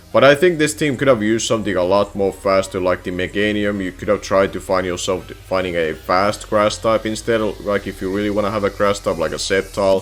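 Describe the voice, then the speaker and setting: The speech moves at a fairly quick pace with hardly any pauses. Pitch varies in an ordinary way, with music in the background. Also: man, fairly low pitch for a man. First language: non-English. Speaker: competitive gaming analyst. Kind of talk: solo commentary video. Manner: halting.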